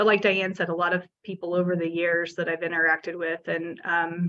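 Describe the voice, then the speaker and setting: A woman with a Midwestern US accent speaks at a moderate pace in a fairly low pitch with monotone, flat intonation. Her tone is bright and sharp against a quiet background. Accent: US Midwest. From Kansas, small town. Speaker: city administrator. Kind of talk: panel discussion.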